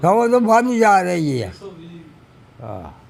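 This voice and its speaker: A man with a Pakistani accent, high-pitched, his pitch swinging very widely, in a room with audible echo. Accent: Pakistani Punjabi. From Pakistani Punjab. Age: 80s+. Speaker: army veteran. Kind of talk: interview. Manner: halting.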